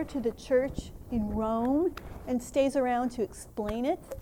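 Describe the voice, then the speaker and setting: In an American accent, a woman talks at a fairly slow pace, her high-pitched voice keeping a fairly even intonation. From Minnesota, US. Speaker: theologian and advocacy leader. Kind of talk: conference workshop talk. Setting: conference workshop with audience.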